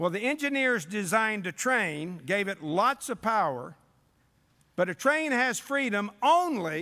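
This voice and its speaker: A man's raised, projected voice, high in pitch with very wide swings, its tone both warm and bright and sharp. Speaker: preacher. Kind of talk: sermon. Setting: church revival service. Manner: warm, folksy storyteller opening with jokes; earnest, didactic and pleading, building to prayer.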